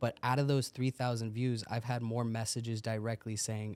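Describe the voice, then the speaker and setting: A man with an American accent, medium in pitch, at a moderate pace with monotone, flat intonation. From San Diego, California. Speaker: weight loss coach and bodybuilder. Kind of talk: podcast interview.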